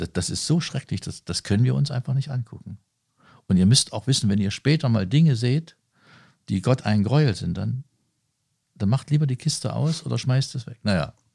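A man's voice carries vocal fry and lively intonation. The recording is very clean, with a silent background and a dry, close sound with no echo. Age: 50s. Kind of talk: interview. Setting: on site at a leisure centre.

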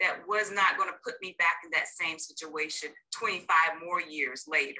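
A woman with an American accent and fairly low pitch, a normal speaking voice with ordinary pitch variation at a fairly slow pace. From North Carolina. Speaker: marriage coach. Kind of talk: interview.

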